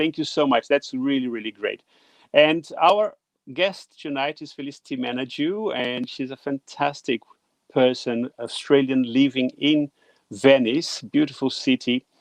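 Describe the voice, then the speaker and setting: In a dry, close recording with no echo, a man with a Portuguese accent speaks at a medium pitch. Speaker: livestream host. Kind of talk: livestream talk show intro. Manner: hesitant, many fillers.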